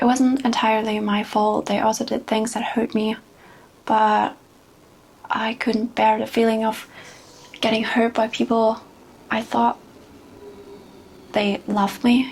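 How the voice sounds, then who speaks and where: A woman speaks fairly high-pitched at a fairly slow pace, her intonation monotone and flat. Long, frequent pauses break up her speech. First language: not English. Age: 20s. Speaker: vlogger. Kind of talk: personal testimony. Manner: halting.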